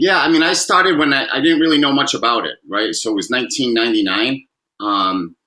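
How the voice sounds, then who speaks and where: A man with a Massachusetts accent talks at a fairly quick pace. His fairly high pitch moves in very wide swings. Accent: Massachusetts accent, noticeable. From Massachusetts, Fall River. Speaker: former pro basketball player, recovery speaker. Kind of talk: interview. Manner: halting, many fillers.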